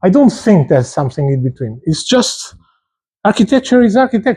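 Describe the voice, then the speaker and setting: A man with a Portuguese accent and very wide pitch swings. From Portugal. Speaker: architecture professor. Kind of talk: lecture. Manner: hesitant, repeats words.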